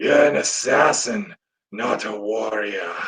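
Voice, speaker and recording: A man's put-on character voice, raspy, at a medium pitch and a fairly slow pace. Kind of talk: non-traditional elf voice. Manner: dark.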